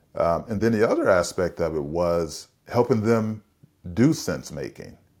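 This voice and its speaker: Recorded very cleanly with a silent background, a man with a plain, everyday voice and an American accent speaks at a fairly slow pace with ordinary pitch variation. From US West Coast, San Francisco. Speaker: leadership consultant and executive coach. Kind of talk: interview conversation.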